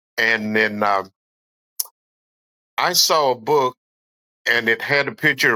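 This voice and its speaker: A man with a North Carolina accent speaks in a bright, sharp tone, and the sound is dry and close with no echo. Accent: Southern US (North Carolina). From US South, western North Carolina foothills. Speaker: falconer. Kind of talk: casual podcast interview. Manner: halting, many fillers.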